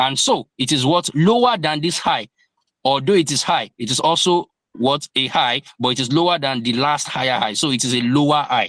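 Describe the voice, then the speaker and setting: A man with a plain, everyday voice speaks at a moderate pace and a fairly high pitch with ordinary pitch variation, the sound dry and close with no echo. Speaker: crypto trading teacher. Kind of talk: lecture.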